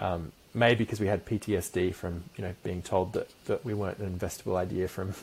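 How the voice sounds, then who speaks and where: A man with an Australian accent talks at a fairly quick pace. His voice is somewhat breathy, with ordinary pitch variation. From Perth, Western Australia. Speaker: company founder and CEO. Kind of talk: interview.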